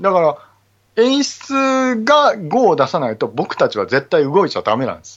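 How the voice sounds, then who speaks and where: A man speaks at a high pitch with very wide pitch swings and an animated tone. His loudness swings widely too. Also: moderate pace. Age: 40s. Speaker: stage actor and theater crew, podcaster. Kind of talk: casual chat.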